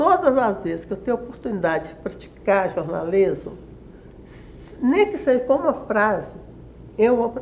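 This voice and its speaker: A woman speaks at a moderate pace in a fairly high pitch, her voice making very wide pitch swings. She leaves long, frequent pauses over noticeable background noise. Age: 80s+. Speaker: retired journalist and writer. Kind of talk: interview. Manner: halting, many self-corrections.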